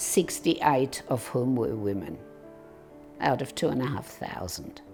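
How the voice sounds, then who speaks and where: Music plays in the background. A woman talks at a fairly slow pace. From Serbia. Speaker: former local councillor. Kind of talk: life story interview. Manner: casual, conversational.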